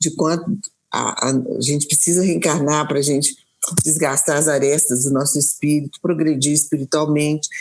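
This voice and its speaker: A woman with a very deep, low pitch speaks at a moderate pace, her loudness very even and her intonation fairly even. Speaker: spiritist speaker. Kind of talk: interview in a live stream. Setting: live online stream. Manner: halting, many repetitions.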